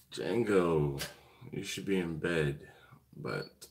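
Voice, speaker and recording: A man's very deep, low voice at a very slow pace, with ordinary pitch variation and audible room echo. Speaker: BBQ channel host. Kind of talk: live stream chat. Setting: hotel hallway. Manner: quiet, keeping voice down.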